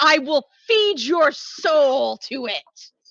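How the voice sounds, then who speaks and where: A woman puts on a shrill character voice, high in pitch with lively intonation. The sound is dry and close, with no echo. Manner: shrieking.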